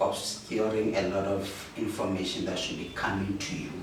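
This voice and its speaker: A man with a South African accent speaks at a fairly slow pace in a fairly low pitch. Audible room echo and noticeable background noise fill the recording. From South Africa, Gauteng township. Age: middle-aged. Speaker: teacher turned businessman. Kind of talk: interview. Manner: halting; soft-spoken.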